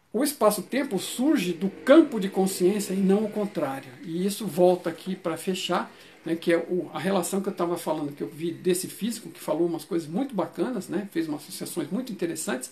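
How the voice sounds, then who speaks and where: Hardly any pauses break up the speech. The pace is fairly quick. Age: 60s. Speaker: channel host explaining a book's theory. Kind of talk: informal talk. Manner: halting, many fillers and restarts.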